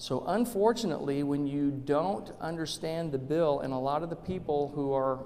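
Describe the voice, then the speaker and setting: The man has an unremarkable speaking voice, fairly high in pitch, with ordinary pitch variation. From Arizona, Tucson. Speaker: state legislator. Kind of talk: public talk.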